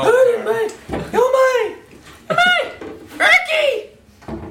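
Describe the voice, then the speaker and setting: This is a put-on character voice at an extremely high pitch. It moves at a very slow pace. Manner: exaggerated put-on female voice.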